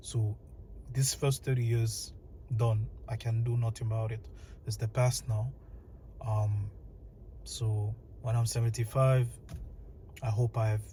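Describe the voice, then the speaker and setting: A man with a dark, mellow tone speaks at a medium pitch, fairly slowly, in a monotone, flat way. His voice is somewhat breathy, and he takes long, frequent pauses. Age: 20s. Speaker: vlogger. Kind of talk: personal monologue. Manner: halting.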